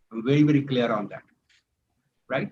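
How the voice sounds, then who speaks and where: His voice has a somewhat breathy quality. The man's pitch is fairly high. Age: 60s. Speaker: entrepreneur and mentor. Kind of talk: motivational talk in online networking session. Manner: emphatic.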